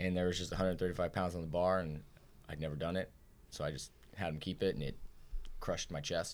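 Talking at a very fast pace with long, frequent pauses, a man with an American accent uses a very deep, low pitch and fairly even intonation. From Indiana, after childhood in Ohio and Florida. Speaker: CrossFit gym owner and competitive athlete. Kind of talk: casual interview.

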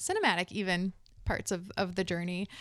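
Moderate in pace, a woman talks at a medium pitch in an unremarkable speaking voice. Her recording is very clean, with a silent background. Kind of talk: casual interview chat.

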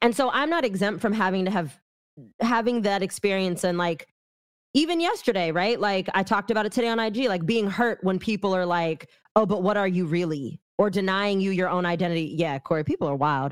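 A woman speaks at medium pitch with lively intonation. Her pace is fairly quick. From San Francisco Bay Area, California. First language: not English (English is third language). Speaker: activist and educator. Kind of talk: casual chat.

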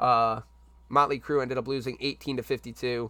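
Over a silent background in a very clean recording, a man speaks with an American accent. He has a plain, everyday voice at a medium pitch. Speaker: league podcast host and game videographer. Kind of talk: casual podcast chat. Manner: casual, chatty.

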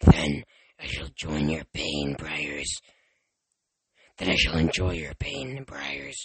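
A put-on character voice from a man, very low and deep, very slow, broken by long, frequent pauses. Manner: menacing.

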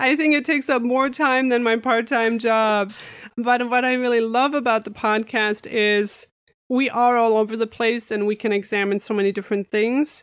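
Spoken with a German accent, the voice moves at a moderate pace with fairly even intonation and very even loudness. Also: woman, fairly high pitch for a woman. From Germany. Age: 30s. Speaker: pastry chef and podcaster. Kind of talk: casual interview chat. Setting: remote call from home.

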